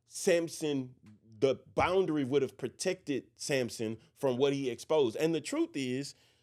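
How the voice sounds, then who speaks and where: A man with a fairly high pitch talks at a fairly slow pace on a very clean recording with a silent background. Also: ordinary pitch variation. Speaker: pastor. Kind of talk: religious discussion podcast. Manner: loud; projecting.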